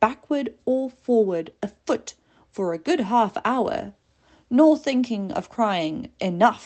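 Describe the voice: The plain reading aloud carries lively intonation.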